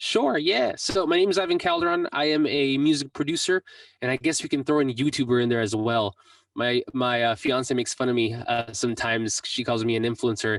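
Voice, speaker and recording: A man with an American accent speaks in an unremarkable speaking voice at medium pitch, with ordinary pitch variation and very even loudness. He talks at a fairly quick pace, in a dry, close sound with no echo. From Mexico, raised in the US from about age six. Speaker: music producer and YouTuber. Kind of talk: interview.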